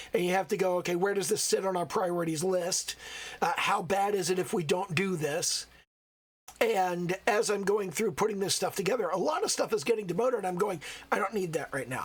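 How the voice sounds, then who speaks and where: Speaking at a fairly quick pace, a man has a high pitch. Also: ordinary pitch variation. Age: old. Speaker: solo game developer. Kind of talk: casual talk to camera.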